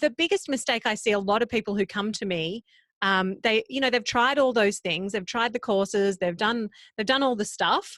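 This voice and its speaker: A woman with an Australian accent speaks at a moderate pace, her pitch fairly high with ordinary variation. The sound is dry and close with no echo, and the recording is very clean with a silent background. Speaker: podcast coach. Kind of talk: interview.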